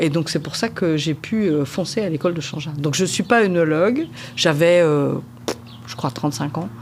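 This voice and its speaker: Noticeable background noise sits behind a woman with a very deep, low pitch. She speaks at a moderate pace with lively intonation. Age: 60s. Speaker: winemaker. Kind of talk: interview. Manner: hesitant, with frequent fillers.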